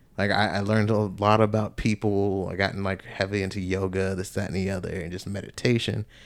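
The recording is very clean with a silent background. A man talks at a fairly quick pace in a plain, everyday voice. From US South, Georgia. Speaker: podcast co-host, army veteran. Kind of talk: testimony. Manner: casual, filler-heavy speech.

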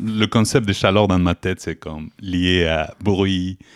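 Very slow and with fairly even intonation, a man speaks at a very deep, low pitch. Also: dry, close sound with no echo, very clean recording, silent background. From Mexico. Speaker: chocolate maker, small business owner. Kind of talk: casual chat.

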